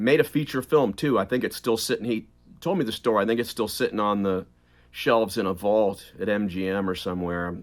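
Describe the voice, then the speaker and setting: In a very clean recording with a silent background, a man talks at a fairly quick pace in an ordinary speaking voice. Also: fairly low pitch for a man, ordinary pitch variation. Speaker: audiobook narrator. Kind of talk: interview answer.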